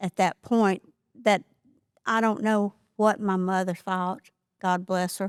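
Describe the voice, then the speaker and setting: A woman with an American accent speaks at a medium pitch with fairly even intonation, her sound dry and close with no echo in a very clean recording with a silent background. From US South (Georgia). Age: 70s. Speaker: folk artist. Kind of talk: interview storytelling. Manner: conversational with hesitations.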